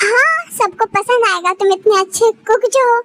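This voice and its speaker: A woman squeaks out a put-on character voice at an extremely high pitch. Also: moderate pace. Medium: read story.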